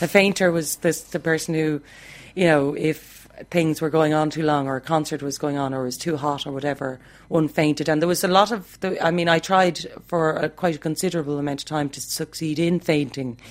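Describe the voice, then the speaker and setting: A woman speaks with a Dublin accent. Her pitch is very deep and low, and her pace is fairly quick. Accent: Dublin Irish. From Ireland, Dublin. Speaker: music teacher. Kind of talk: reminiscing interview.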